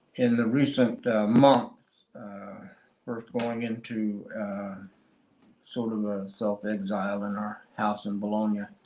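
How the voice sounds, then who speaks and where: In a Cheyenne accent, a man speaks at a very slow pace and a fairly low pitch. His tone is dark and mellow, his intonation monotone and flat. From Oklahoma, US (Cheyenne). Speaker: poet. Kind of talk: poetry reading with discussion. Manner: halting, many fillers.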